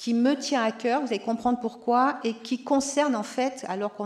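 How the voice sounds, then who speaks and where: Amid noticeable background noise, a woman speaks at a moderate pace and a fairly high pitch. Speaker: geriatric physician and professor. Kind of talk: conference talk. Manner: loud.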